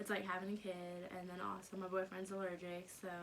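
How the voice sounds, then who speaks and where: Noticeable background noise behind a woman with an American accent. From US South, North Carolina. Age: 20s. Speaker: YouTuber. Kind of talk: casual vlog Q&A. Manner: casual, many fillers.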